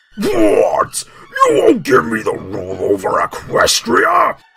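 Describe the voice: At a fairly slow pace, a man talks in a put-on character voice.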